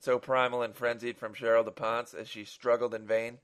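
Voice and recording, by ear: The passage is read aloud in a natural voice.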